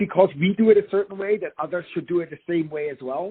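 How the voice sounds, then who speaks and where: Here a man speaks with a German accent. His high voice keeps a fairly even intonation. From Germany. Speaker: business executive and consultant. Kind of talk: podcast interview.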